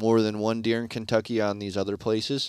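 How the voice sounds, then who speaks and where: Flat, monotone intonation runs throughout. The background is silent and the recording very clean. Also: man, dry, close sound with no echo. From Michigan, Shiawassee County. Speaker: deer hunter. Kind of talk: casual chat.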